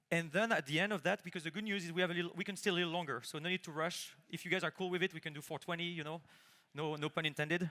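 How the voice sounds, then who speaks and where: A man's high, bright, sharp voice with a strong French accent, very fast pace and fairly even intonation. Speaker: conference speaker, engineer. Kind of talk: conference talk, live demo. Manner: casual, many fillers.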